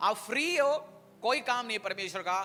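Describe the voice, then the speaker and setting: The voice is raised and projected, with a bright, sharp tone. It carries a non-native accent. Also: man. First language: not Hindi (speaking Hindi). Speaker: pastor. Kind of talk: sermon.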